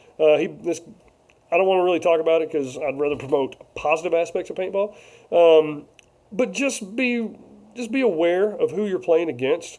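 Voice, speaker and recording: The loud voice moves at a moderate pace with lively intonation and long, frequent pauses. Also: man, high pitch for a man. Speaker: paintball vlogger. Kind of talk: casual live-stream chat.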